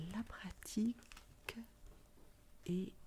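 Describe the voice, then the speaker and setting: A woman whispering. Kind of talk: ASMR video talk to camera. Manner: soft-spoken, whispered.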